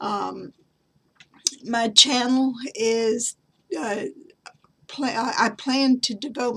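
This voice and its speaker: Very slowly, a woman speaks in a Southern US accent with a bright, sharp tone. Her pitch is fairly high, with ordinary pitch variation. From US South. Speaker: craft and genealogy vlogger. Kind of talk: show-and-tell tutorial. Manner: halting, many fillers.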